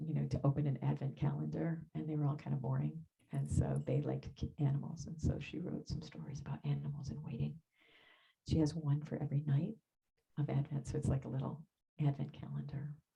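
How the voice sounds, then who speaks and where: Soft-spoken, a woman talks at a very fast pace. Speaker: minister. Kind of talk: sermon. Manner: emotional, voice drops. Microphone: far from the mic, hard to hear.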